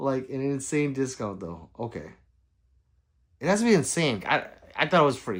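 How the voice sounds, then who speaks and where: At a moderate pace, a man speaks with very wide pitch swings and long, frequent pauses on a very clean recording with a silent background. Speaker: gun YouTuber live streamer. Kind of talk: casual live stream chat reading comments.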